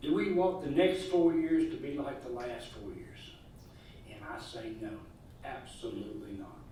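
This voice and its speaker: A man with a Southern US accent talks at a moderate pace, taking long, frequent pauses, and his loudness swings a lot. Noticeable background noise and audible room echo are present. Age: 60s. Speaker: political candidate, welder. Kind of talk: campaign statement.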